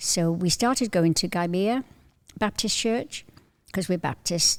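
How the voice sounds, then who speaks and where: In a Cardiff accent, a woman speaks at a fairly slow pace with medium pitch, ordinary pitch variation and very even loudness. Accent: Welsh, Cardiff. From Wales, Welsh valleys then Cardiff. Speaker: visiting churchgoer, grandmother. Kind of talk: casual chat.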